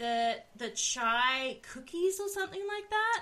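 The speaker has an Australian accent and a bright, sharp tone. The intonation is lively. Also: woman. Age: 20s. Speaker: podcast host. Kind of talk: casual chat.

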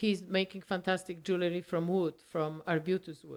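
This is a woman speaking with a Polish accent. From Poland. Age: 70s. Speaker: retired market baker and amateur photographer. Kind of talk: casual interview. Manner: animated.

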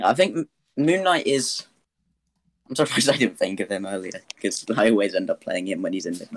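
Speaking with a British accent, a man moves along at a fairly quick pace. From UK. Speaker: tabletop gamer. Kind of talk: casual chat.

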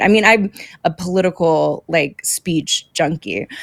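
Recorded very cleanly against a silent background, a woman speaks at medium pitch and a fairly slow pace, with ordinary pitch variation and a dry, close sound with no echo. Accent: Texan. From Texas. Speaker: political candidate. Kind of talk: interview.

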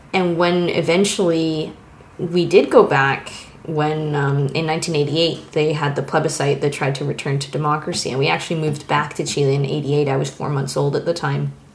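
With audible room echo and noticeable background noise, a woman with a very deep, low pitch talks at a moderate pace and fairly even intonation. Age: 30s. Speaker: illustrator. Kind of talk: casual chat.

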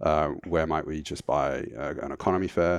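This man speaks at a moderate pace in a very deep, low pitch with vocal fry, and the sound is dry and close with no echo. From United Kingdom. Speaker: founder of a travel points website. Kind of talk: casual interview. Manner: hesitant, many fillers.

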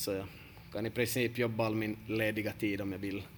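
Fairly quick, monotone speech from a man with a fairly low pitch and flat intonation. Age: 30s. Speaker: football coach and podcast host. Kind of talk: casual podcast talk.

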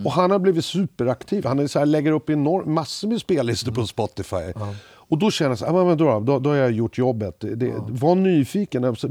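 The dark, mellow voice moves at a fairly quick pace with hardly any pauses and very wide pitch swings, in a dry, close sound with no echo and a very clean recording with a silent background. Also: man, fairly high pitch for a man. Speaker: music industry executive and former drummer. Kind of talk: casual chat.

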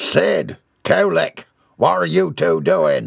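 A man uses a booming, put-on character voice, speaking at a very slow pace. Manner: commanding, booming.

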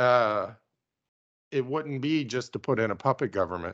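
A man speaks in an ordinary speaking voice at a medium pitch and moderate pace. His pitch varies in an ordinary way, and the background is quiet. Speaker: podcast host. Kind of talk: casual chat about news, with jokes.

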